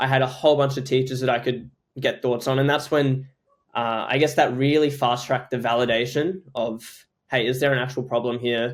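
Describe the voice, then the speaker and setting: A man's monotone, flat delivery at a medium pitch. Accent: Australian. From Australia, Queensland. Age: young. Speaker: startup founder. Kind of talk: podcast interview.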